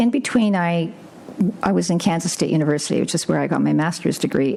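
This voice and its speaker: A woman speaks with a Canadian accent. There is noticeable background noise. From Northern Ontario, Sudbury. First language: Ukrainian. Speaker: livestock guardian dog breeder, scientist. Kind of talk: interview. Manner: halting.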